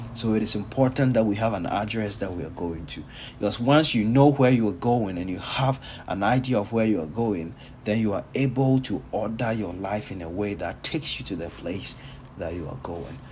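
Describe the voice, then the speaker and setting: A man's somewhat breathy, fairly low voice with lively intonation at a moderate pace, in audible room echo. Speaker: pastor. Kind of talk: sermon.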